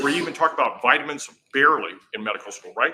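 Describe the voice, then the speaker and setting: Talking at a very fast pace, a man uses an animated tone. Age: 60s. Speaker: health product presenter. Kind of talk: sales pitch. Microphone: microphone died, no mic.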